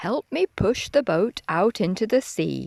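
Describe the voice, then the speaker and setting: A woman puts on a character voice at a medium pitch, speaking at a fairly slow pace. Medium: read story. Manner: friendly, patient.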